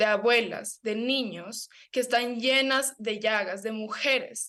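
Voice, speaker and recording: With an Ecuadorian accent, a woman speaks at a fairly high pitch. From Ecuador, Amazon (Sarayaku). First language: Kichwa (speaking Spanish). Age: young. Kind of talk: radio/TV interview. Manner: animated, some stammering.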